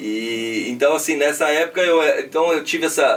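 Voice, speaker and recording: A man in an interior São Paulo accent speaks at a moderate pace and fairly high pitch over noticeable background noise. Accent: Brazilian São Paulo interior accent (caipira). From interior of São Paulo state (Piraju, near Paraná). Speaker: businessman. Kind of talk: podcast interview. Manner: casual, filler-heavy.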